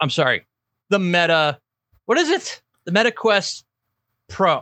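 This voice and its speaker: A man speaks in a bright, sharp tone. The recording is very clean, with a silent background and a dry, close sound with no echo. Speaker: tech podcast co-host. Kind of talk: casual chat. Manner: loud.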